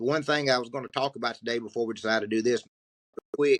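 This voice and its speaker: In a strong Southern US accent, a man speaks at a medium pitch with a dry, close sound and no echo. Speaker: podcast co-host and trucking recruiter. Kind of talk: casual podcast conversation. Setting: video podcast recording.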